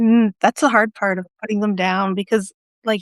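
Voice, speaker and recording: A woman has a normal speaking voice, medium in pitch, with fairly even intonation at a moderate pace. The sound is dry and close with no echo. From rural Alberta, Canada. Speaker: poet and writer. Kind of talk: casual conversation.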